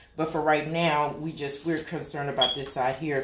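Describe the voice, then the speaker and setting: Audible room echo follows a woman whose voice has a very deep, low pitch. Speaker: small business owner, craft maker. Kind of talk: tutorial. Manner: casual, chatty.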